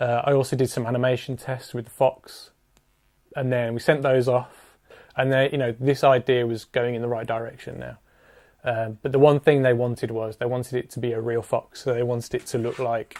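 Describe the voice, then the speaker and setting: A man speaks at a medium pitch. His delivery is fairly quick and monotone, with flat intonation. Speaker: music video director. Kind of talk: casual narration. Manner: subdued.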